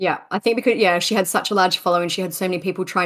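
A woman talks at a fairly low pitch with ordinary pitch variation. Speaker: podcast co-host. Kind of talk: casual chat and true crime storytelling. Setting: remote call. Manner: laughs often.

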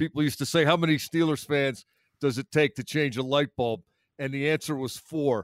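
Dry and close with no echo, a normal speaking voice moves at a fairly quick pace with fairly even intonation. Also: man, fairly high pitch for a man. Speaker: sports radio panelist. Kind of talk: casual chat.

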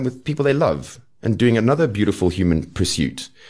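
Speaking at a fairly quick pace with vocal fry and very wide pitch swings, a man is heard against a quiet background. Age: 40s. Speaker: folk singer-songwriter. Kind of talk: casual chat.

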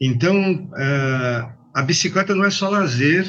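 A man's bright, sharp tone comes through at a very slow pace. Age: 50s. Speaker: bike courier company manager. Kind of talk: interview.

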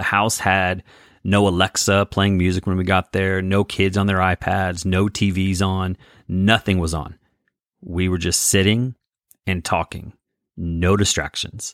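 A man's very deep, low voice in a flat monotone at a fairly slow pace, with a dry, close sound and no echo. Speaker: podcast host and life coach. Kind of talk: solo podcast monologue with faith teaching. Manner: loud.

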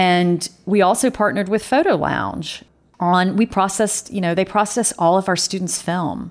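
A woman's medium-pitched voice with a slight Southern accent and fairly even intonation, on a very clean recording with a silent background. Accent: slight southern drawl. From US South, North Carolina. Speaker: photography professor and artist. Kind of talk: interview.

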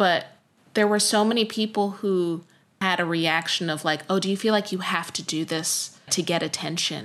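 Here is a woman with a plain, everyday voice, speaking at a moderate pace. Her intonation is fairly even and her pitch is medium. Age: 30s. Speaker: singer and producer. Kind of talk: interview.

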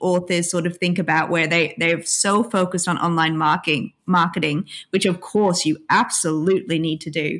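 A woman with an Australian accent talks at medium pitch and a moderate pace. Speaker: author and PhD student. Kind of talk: casual interview.

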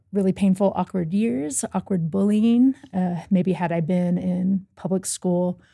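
A woman with an American accent talks at a moderate pace in a medium pitch with ordinary pitch variation. It is an ordinary speaking voice on a very clean recording with a silent background. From US South, Louisville, Kentucky. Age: 30s. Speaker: accessibility app team member. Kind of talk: casual interview chat. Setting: studio.

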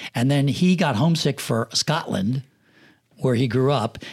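Somewhat breathy and in an American accent, the voice shows ordinary pitch variation in a very clean recording with a silent background. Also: man. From rural Pennsylvania. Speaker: film assistant director and production manager. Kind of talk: casual interview chat. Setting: studio.

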